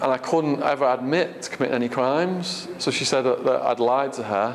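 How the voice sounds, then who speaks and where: In an English accent, a man speaks at a medium pitch with ordinary pitch variation. Noticeable background noise and audible room echo are present. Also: fairly quick pace. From England. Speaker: author and ex-prisoner giving a talk. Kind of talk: audience Q&A. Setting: stage with audience. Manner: halting, many fillers.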